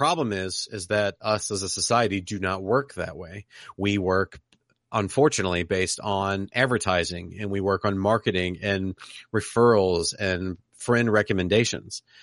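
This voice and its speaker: With a normal speaking voice, a man talks at a fairly low pitch and moderate pace with fairly even intonation, in a dry, close sound with no echo against a quiet background. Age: 30s. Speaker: podcaster and Twitch streamer. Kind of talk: casual chat.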